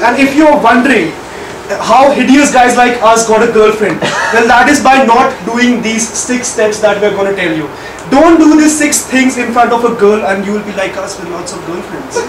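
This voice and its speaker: Extremely high in pitch, a man talks at a moderate pace with ordinary pitch variation. Noticeable background noise can be heard. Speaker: speaker. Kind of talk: humorous prepared speech. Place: meeting room. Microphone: camera far.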